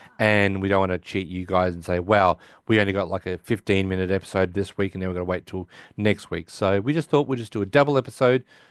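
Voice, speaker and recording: Against a quiet background, a man with an Australian accent talks at a very fast pace with a fairly low pitch and ordinary pitch variation, in a dry, close sound with no echo. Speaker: podcast host. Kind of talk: casual chat.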